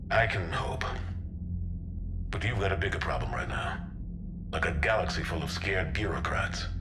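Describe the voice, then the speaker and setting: Over loud background noise, a man puts on a character voice pitched very deep and low, speaking at a moderate pace. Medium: short film. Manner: gruff, steady, dry.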